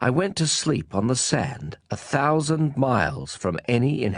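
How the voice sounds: What we hear is a natural reading voice.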